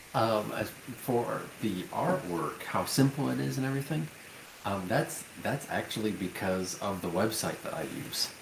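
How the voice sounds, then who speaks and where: A quiet man with a fairly low pitch speaks at a moderate pace, his pitch swinging very widely. Noticeable background noise runs underneath. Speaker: board game designer. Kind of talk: casual interview. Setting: voice call. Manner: quiet, holding voice down.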